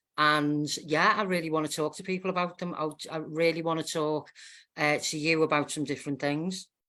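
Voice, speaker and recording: A woman with a Liverpool accent, a very deep, low pitch, a bright, sharp tone, flat monotone intonation and a moderate pace, in a very clean recording with a silent background. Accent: Scouse. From northern England, Wallasey, Wirral. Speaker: guest. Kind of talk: casual chat.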